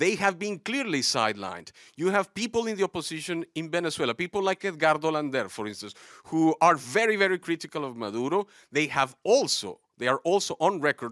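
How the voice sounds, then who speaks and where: With a bright, sharp tone and very wide pitch swings, a man speaks at a fairly quick pace in a dry, close sound with no echo, on a very clean recording with a silent background. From Latin America. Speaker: audience member. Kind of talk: studio debate. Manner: halting.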